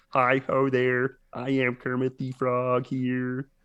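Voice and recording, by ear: A man's put-on, robotic character voice at medium pitch, very slow and monotone with flat intonation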